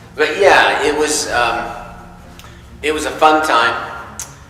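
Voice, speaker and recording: A man's fairly high-pitched voice with long, frequent pauses, noticeable background noise and audible room echo. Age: 60s. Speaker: hunter. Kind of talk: storytelling interview. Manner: hesitant, many fillers.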